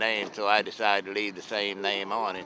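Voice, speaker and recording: A man with an American accent talks at a fairly quick pace. Noticeable background noise runs underneath. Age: 70s. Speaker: fishing boat captain. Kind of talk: interview.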